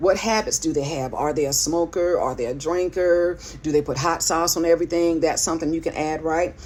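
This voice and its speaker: Fairly low-pitched speech from a woman with ordinary pitch variation, set against noticeable background noise. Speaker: writing coach and pastor. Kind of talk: instructional talk. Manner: casual, conversational.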